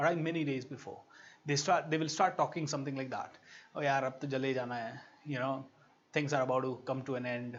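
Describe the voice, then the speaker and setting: A man talks at a very fast pace with an Indian accent. His pitch is medium. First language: Hindi. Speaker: motivational speaker. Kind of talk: online workshop talk. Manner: animated.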